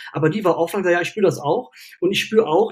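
A man is speaking. His pace is fairly quick. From Cologne, western Germany. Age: 40s. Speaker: mental health coach and university lecturer. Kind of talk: casual interview. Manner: hesitant, many fillers.

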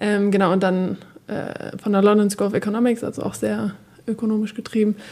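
A woman's dark, mellow tone, monotone and flat, at a fairly quick pace. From northern Germany, Oldenburg. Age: young. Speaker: tech startup executive. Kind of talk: casual interview. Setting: studio.

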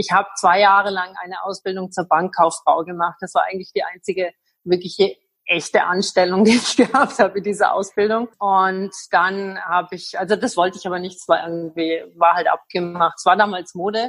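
Her pace fairly quick, a woman speaks at medium pitch with fairly even intonation and big swings in loudness. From Germany. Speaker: interpreter and gin entrepreneur. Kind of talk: interview.

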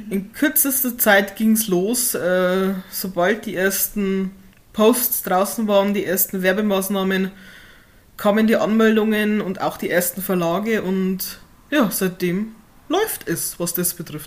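A woman's medium-pitched voice with ordinary pitch variation, at a very slow pace with long, frequent pauses. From Upper Palatinate, Bavaria (Hohenfels). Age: 20s. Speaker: author. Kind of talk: casual interview.

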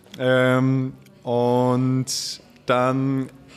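A man speaks at a medium pitch. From Vienna, Austria. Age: 20s. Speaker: head chef. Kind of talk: casual chat. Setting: restaurant.

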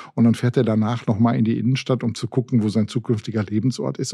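This man has a dark, mellow tone and a medium pitch, with ordinary pitch variation. He talks at a fairly quick pace in a very clean recording with a silent background. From Ruhr area, Germany. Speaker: retail expert and consultant. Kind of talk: podcast interview.

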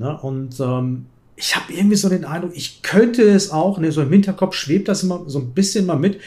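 A somewhat breathy voice at a fairly quick pace with lively intonation. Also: man. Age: 50s. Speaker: chess YouTuber and streamer. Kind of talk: casual chat.

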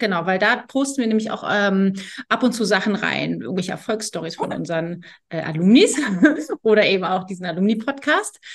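A woman has a normal speaking voice at medium pitch. She talks at a fairly quick pace with ordinary pitch variation. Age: 40s. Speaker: agency head interviewing former employee. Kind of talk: casual interview.

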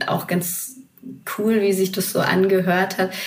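A woman speaks at a fairly slow pace, and audible room echo follows her words. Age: 30s. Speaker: TV reporter. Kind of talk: casual chat. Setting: remote call from home office.

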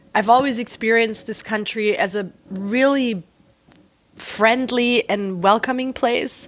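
In a German accent, a woman with a fairly high pitch talks at a fairly slow pace with fairly even intonation. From southern Germany (near Reutlingen, Swabia). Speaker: artist and writer. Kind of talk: interview conversation.

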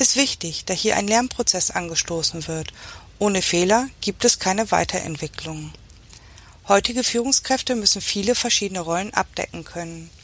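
A woman has an ordinary speaking voice, medium in pitch, with ordinary pitch variation and a moderate pace. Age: 40s. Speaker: engineering manager. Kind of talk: scripted monologue. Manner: formal.

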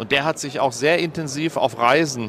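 Someone speaks at a moderate pace with fairly even intonation. Noticeable background noise can be heard. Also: man. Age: 50s. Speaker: former mayor. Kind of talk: interview. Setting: trade fair stand.

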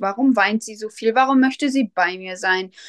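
A woman speaks at a moderate pace with ordinary pitch variation. The sound is dry and close, with no echo and a quiet background. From Germany, Westphalia near Soest. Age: 30s. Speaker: first-time mother. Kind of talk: interview. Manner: hesitant, many fillers.

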